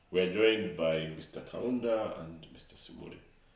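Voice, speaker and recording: Audible room echo surrounds a man who talks fairly slowly with ordinary pitch variation. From Zambia. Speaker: video host, parish webmaster. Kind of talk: interview hosting.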